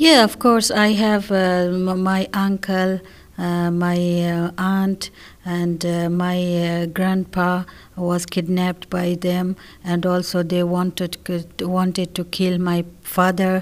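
The speech moves at a very slow pace in a monotone, flat intonation. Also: woman, medium pitch for a woman. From Afghanistan. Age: 20s. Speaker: adult English student. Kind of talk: interview. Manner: halting.

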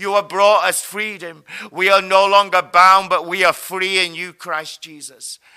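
A man's raised, projected voice, high in pitch, bright and sharp in tone, with monotone, flat intonation at a fairly slow pace. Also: big swings in loudness. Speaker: prayer leader. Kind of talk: group prayer session; fervent intercessory prayer with spiritual warfare declarations. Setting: online video broadcast. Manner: fervent, declarative, commanding.

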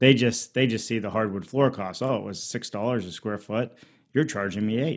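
Over a very clean recording with a silent background, a man speaks in a normal speaking voice at a medium pitch. His pace is moderate and his pitch variation ordinary. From Pittsburgh, Pennsylvania. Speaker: modular home builder. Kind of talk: interview.

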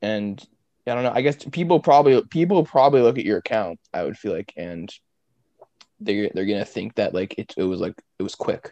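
At a fairly quick pace, a man with a medium pitch and a dark, mellow tone swings his pitch very widely, captured in a dry, close sound with no echo. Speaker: podcast host. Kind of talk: casual interview.

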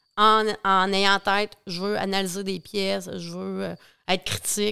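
A woman speaks in a plain, everyday voice. Her pitch is medium with ordinary variation. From Quebec, Bas-Saint-Laurent. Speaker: agricultural mental health worker. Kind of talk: casual interview.

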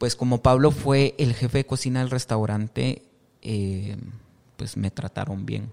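A man's plain, everyday voice, fairly slow, with fairly even intonation. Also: medium pitch for a man. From Guatemala, western highlands (Quiché, San Pedro Jocopilas). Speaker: chef and restaurant owner. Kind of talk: casual interview chat. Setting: on location at his restaurant.

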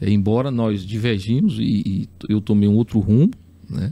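His voice sits fairly low for a man. The man speaks with ordinary pitch variation. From Teresina, Piauí, Brazil. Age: 40s. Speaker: city councillor. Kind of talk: podcast interview.

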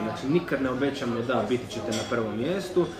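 A man talks at a fairly quick pace with lively intonation, amid audible room echo and noticeable background noise. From Croatia, Istria (Pula). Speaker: marketing agency owner. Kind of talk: casual interview. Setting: hotel.

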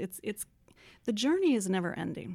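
The woman's voice comes through on a very clean recording with a silent background. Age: 50s. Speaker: transformational coach. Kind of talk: interview. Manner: hesitant.

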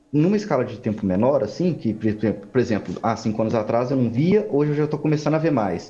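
A man speaks at a fairly quick pace with a dark, mellow, somewhat breathy tone and lively intonation, with audible room echo around him. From Minas Gerais, Belo Horizonte. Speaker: ecologist. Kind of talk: interview.

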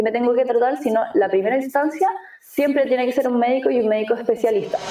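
A woman with a Chilean accent, fairly high pitch and fairly even intonation, over noticeable background noise. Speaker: nutritionist. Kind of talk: interview.

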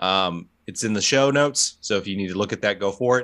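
Over a quiet background, a man with an unremarkable speaking voice talks at a fairly low pitch with lively intonation. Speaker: podcast host. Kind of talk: casual podcast chat, reading notes aloud.

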